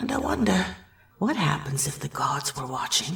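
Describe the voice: Using a put-on character voice, a woman speaks at a moderate pace with a low pitch, vocal fry, big pitch swings and a fairly bright tone, while faint music plays in the background.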